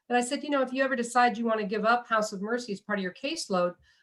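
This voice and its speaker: This woman talks very fast with a fairly high pitch, ordinary pitch variation, and an American accent. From US Midwest, Illinois. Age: 60s. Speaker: nurse. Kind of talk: oral history interview.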